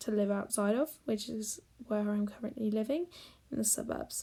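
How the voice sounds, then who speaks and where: A woman with a British accent speaks at a fairly quick pace in a fairly high pitch, her dark, mellow tone somewhat breathy and her pitch variation ordinary. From Great Britain. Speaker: digital artist. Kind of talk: narrated speed-paint tutorial.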